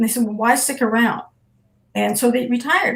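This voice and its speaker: Here is a woman with a Midwestern US accent. Her pitch is high. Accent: General American, Midwestern. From Nebraska, USA. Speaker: retired Army colonel, physician assistant. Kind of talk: interview answer. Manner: conversational, hesitant.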